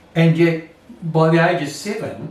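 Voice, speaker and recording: The speaker talks with an Australian accent. Audible room echo surrounds the voice. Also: man. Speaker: Anglican priest. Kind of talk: sermon. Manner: self-conscious speaker.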